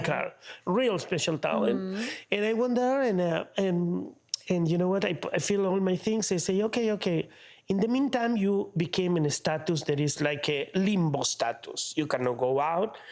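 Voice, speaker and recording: Delivered at a moderate pace in an Argentine accent, the speech has lively intonation and very even loudness. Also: man, high pitch for a man. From Argentina. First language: Spanish. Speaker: opera tenor. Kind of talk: interview answer. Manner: animated, colorful.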